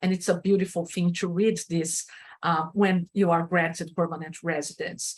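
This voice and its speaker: A woman's fairly low, somewhat breathy voice, monotone and flat, at a very even loudness. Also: moderate pace. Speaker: registered migration agent. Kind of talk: webinar presentation. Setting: live online session.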